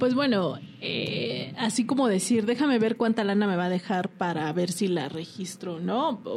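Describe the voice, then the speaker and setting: Over noticeable background noise, a woman with a medium pitch and lively intonation speaks at a fairly slow pace with hardly any pauses. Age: 40s. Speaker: lawyer. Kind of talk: casual interview.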